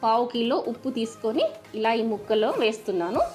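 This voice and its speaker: The voice belongs to a woman. Music can be faintly heard behind her. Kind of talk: cooking tutorial. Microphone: phone near.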